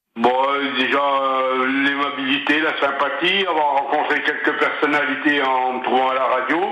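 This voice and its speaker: Flat, monotone delivery at a fairly slow pace and very even loudness, with audible room echo and noticeable background noise. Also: man, fairly high pitch for a man. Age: 60s. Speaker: retired bus driver and longtime listener. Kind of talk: radio interview. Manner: halting.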